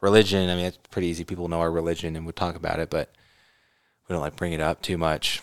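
A man talks at a very fast pace in a very deep, low pitch with monotone, flat intonation. The recording is very clean with a silent background and a dry, close sound with no echo. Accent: American. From California. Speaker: podcast co-host. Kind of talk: casual chat.

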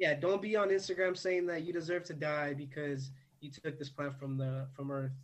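Using a normal speaking voice, a man talks at a moderate pace with a fairly high pitch and ordinary pitch variation. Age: 20s. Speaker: cactus and plant collector. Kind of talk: casual chat.

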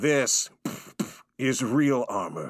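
Using a put-on character voice, a man speaks at a medium pitch with a raspy sound. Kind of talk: theatrical, put-on. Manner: dramatic.

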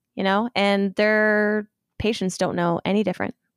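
In an ordinary speaking voice with an American accent, a woman speaks at a moderate pace and medium pitch, the recording dry and close with no echo and very clean, with a silent background. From Ohio. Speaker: medical student. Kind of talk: casual chat. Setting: at home.

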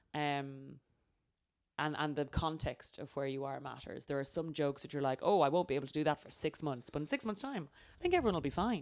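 With an Irish accent, a woman speaks at a fairly quick pace in a very deep, low voice, showing ordinary pitch variation and big swings in loudness. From Ireland. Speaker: comedian. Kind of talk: casual chat.

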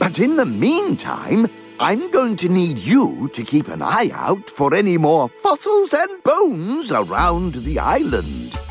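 With clear music in the background, a man uses a put-on character voice at a fairly slow pace. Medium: read story. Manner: warm, genteel.

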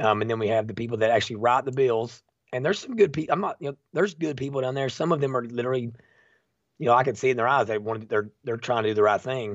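A man with an Appalachian accent speaks very fast. His pitch is medium, with ordinary variation. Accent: Appalachian Kentucky. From eastern Kentucky, Bell County. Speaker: citizen activist. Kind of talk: casual interview chat.

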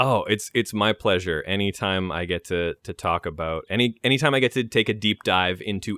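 A man's plain, everyday voice in a Canadian accent, fairly low in pitch, with ordinary pitch variation and a moderate pace. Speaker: voice actor and Final Fantasy fan. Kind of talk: casual chat.

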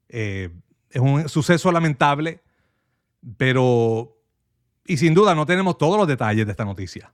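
Over a very clean recording with a silent background, a man with a fairly high pitch talks at a moderate pace, with very wide pitch swings and long, frequent pauses. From Puerto Rico, Manatí. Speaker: stand-in radio host and media analyst. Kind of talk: talk radio with news commentary and calls.

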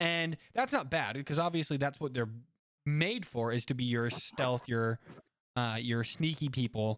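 A man's ordinary speaking voice at a medium pitch, fairly slow, with ordinary pitch variation and very even loudness. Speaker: podcast host. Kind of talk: casual chat.

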